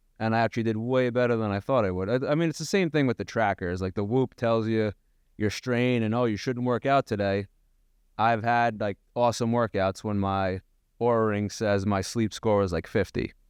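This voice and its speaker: In a Long Island accent, the speaker goes at a moderate pace with ordinary pitch variation, recorded with dry, close sound and no echo. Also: man, medium pitch for a man. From Long Island, New York. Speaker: gym owner and podcast co-host. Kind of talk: casual chat.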